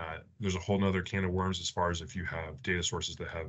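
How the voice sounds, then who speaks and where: Against a quiet background, a man with a very deep, low pitch talks at a fairly quick pace. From Arizona, US (Phoenix). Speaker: air force officer and test pilot; presenter. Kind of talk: presentation. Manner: halting, many fillers. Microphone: video call.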